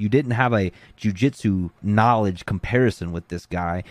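A man with an American accent, fairly low pitch, ordinary pitch variation and moderate pace, in a dry, close sound with no echo on a very clean recording with a silent background. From US South, Gulf Shores, Alabama. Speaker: jiu-jitsu instructor. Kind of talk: casual interview chat. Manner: animated.

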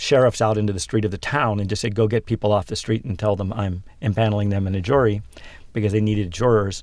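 A man with an American accent talks at a fairly quick pace in an ordinary speaking voice. His pitch is fairly low and his intonation fairly even. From western Pennsylvania. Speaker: tech company founder and CEO. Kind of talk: interview.

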